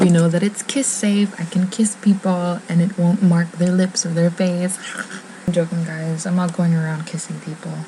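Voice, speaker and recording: A woman with a fairly low pitch talks at a fairly slow pace in a monotone, flat intonation. Noticeable background noise runs underneath. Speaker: beauty vlogger. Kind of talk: casual vlog chat. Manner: whispering.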